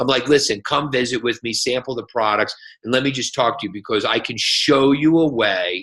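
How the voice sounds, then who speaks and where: A man speaks in an animated tone at medium pitch. The background is quiet. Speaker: network marketing distributor, guest speaker. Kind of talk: motivational talk. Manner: loud.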